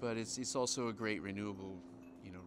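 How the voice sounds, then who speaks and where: Through noticeable background noise, a man with an American accent talks at a fairly low pitch. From United States. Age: 40s. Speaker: professional ultra runner. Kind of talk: interview. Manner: halting. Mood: relaxed, friendly.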